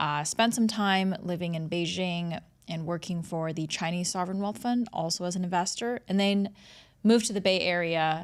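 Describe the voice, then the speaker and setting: A woman with an American accent and medium pitch speaks at a moderate pace with ordinary pitch variation in an unremarkable speaking voice, on a very clean recording with a silent background. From United States. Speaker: startup founder and CEO. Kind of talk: casual interview.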